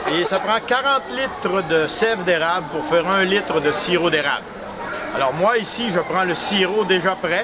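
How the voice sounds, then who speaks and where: Amid crowd noise in the background, a man with a Quebec accent uses a raised, projected voice, high in pitch with ordinary pitch variation. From Quebec, Canada. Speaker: maple syrup maker at a sugar shack stand. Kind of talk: casual demonstration explaining to visitors. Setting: outdoors at a Christmas market. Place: market.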